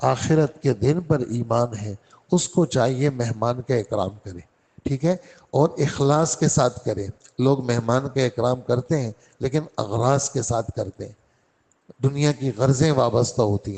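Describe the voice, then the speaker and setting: A man speaks at a medium pitch in an ordinary speaking voice, with ordinary pitch variation. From Karachi, Pakistan. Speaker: Islamic scholar giving a Quran lesson. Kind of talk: religious lecture (Quran exegesis). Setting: mosque lesson.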